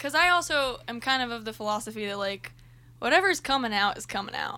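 Her voice is fairly high and bright with a sharp tone, and the woman talks fairly quickly with lively intonation. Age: 20s. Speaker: band singer. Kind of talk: casual chat.

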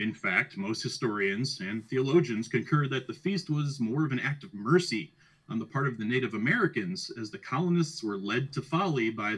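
With lively intonation and a moderate pace, a man speaks in an ordinary speaking voice at medium pitch. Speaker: podcast host. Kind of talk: casual chat.

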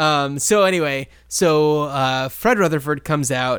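This man has a plain, everyday voice. It sits fairly high, with ordinary pitch variation. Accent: American. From New Jersey. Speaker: podcast co-host. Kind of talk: casual chat.

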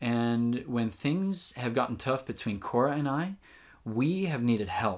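A man talks at a fairly slow pace in an ordinary speaking voice, medium in pitch with lively intonation. The recording is very clean, with a silent background. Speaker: relationship podcast host. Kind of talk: reading aloud an article.

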